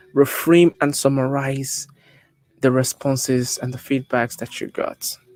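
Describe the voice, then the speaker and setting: A fairly high-pitched man with a Nigerian accent, monotone and flat, at a fairly slow pace, in a dry, close sound with no echo. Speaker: public speaking coach. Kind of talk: tutorial.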